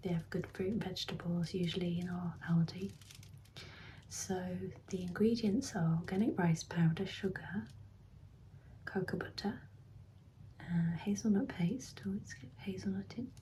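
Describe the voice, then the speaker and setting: A woman speaks in a relaxed tone with vocal fry, her pitch fairly low and her pitch movement ordinary. She keeps a moderate pace, broken by long, frequent pauses. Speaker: ASMR creator. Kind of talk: ASMR ramble to camera. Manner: soft-spoken, relaxed.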